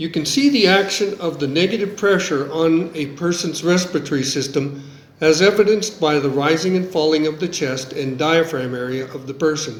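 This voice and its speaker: Noticeable background noise and audible room echo accompany a man with an American accent speaking at a fairly high pitch. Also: ordinary pitch variation, moderate pace, hardly any pauses. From US. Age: 70s. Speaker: engineer. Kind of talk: scripted narration.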